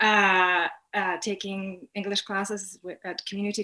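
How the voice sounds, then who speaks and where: A woman in a Polish accent, medium-pitched, with a bright, sharp tone at a moderate pace. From Poland. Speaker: art graduate student. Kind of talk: interview. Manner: halting, many fillers.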